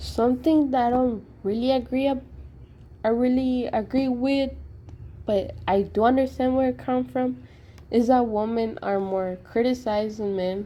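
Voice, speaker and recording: In a non-native accent, a woman speaks with a high pitch and fairly even intonation. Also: moderate pace. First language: not English. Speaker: sociology student. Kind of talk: class assignment presentation.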